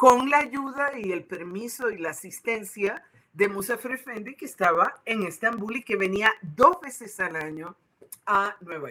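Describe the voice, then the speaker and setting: A woman with an ordinary speaking voice talks fairly slowly at a fairly high pitch, her intonation lively and her loudness swinging widely. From Puerto Rico. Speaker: Sufi spiritual leader. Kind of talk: interview.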